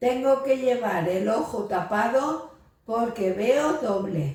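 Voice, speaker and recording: A woman speaks very slowly with lively intonation. Audible echo fills the room. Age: 70s. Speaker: brain injury survivor. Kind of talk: testimony.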